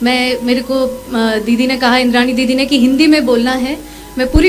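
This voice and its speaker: Someone talks at a moderate pace in a Tamil accent. Audible room echo and music in the background surround the voice. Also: woman. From Tamil Nadu, Madurai. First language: Tamil (speaking Hindi). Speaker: civil servant, speaker. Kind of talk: public talk.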